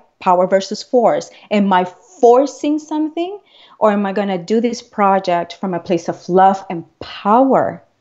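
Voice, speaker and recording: A woman speaks at a fairly slow pace with a medium pitch and a non-native accent. Her intonation is lively. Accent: foreign. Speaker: transformational coach. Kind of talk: interview. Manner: animated.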